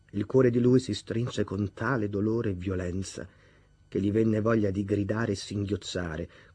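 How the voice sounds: The voice reads in a natural way. Its pitch stays fairly level.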